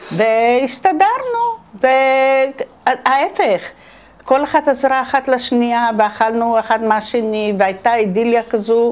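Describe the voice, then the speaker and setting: A woman with a high pitch talks very slowly, her intonation lively. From Jerusalem. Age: 70s. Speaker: war veteran; interviewee. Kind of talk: testimony. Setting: at home. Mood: reflective, nostalgic. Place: home room. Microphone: lapel.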